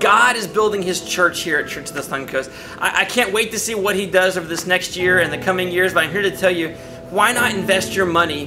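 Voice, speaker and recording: Faint music plays in the background as a man speaks in a raised, projected voice. His pace is fairly quick and his pitch varies in an ordinary way. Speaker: pastor. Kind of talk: church appeal to the congregation. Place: studio.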